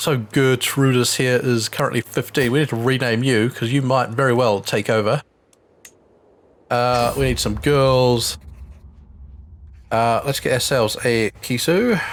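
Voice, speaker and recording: In a very clean recording with a silent background, a man with a New Zealand accent speaks at a fairly slow pace and medium pitch, with very even loudness, fairly even intonation, and long, frequent pauses. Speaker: gaming video creator. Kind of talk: let's play commentary. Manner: casual, with filler words.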